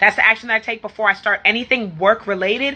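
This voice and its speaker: This woman's voice sits fairly high in pitch, with ordinary pitch variation. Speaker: life coach for entrepreneurs. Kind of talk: live stream talk to viewers. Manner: fast; animated.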